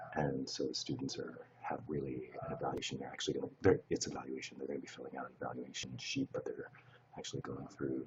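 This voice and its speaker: A quiet man's voice. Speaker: live streamer. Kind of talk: casual chat. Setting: live stream in a shared space. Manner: hushed, speaking low.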